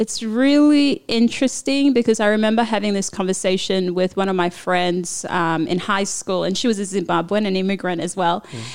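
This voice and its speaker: In a Papua New Guinean accent, a woman speaks at medium pitch with ordinary pitch variation on a very clean recording with a silent background. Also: fairly quick pace, hardly any pauses. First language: Papua New Guinean language. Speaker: former lawyer, immigrant. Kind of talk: interview.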